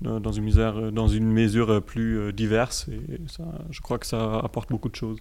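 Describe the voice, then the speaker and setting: A man at a moderate pace, big swings in loudness, noticeable background noise behind him. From Germany. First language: German (speaking French). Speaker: student association co-president. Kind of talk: radio interview. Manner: halting.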